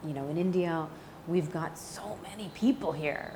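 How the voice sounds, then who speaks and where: A woman speaks in an American accent at a fairly low pitch with ordinary pitch variation. Audible room echo and noticeable background noise surround her. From US Midwest (St. Louis, Missouri). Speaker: actress. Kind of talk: interview. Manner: casual, many fillers.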